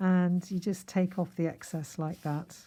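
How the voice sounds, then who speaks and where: In a very clean recording with a silent background, a woman speaks at a moderate pace with a somewhat breathy, dark, mellow tone at medium pitch. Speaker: card-making crafter. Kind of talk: tutorial. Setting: home craft room. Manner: chatty.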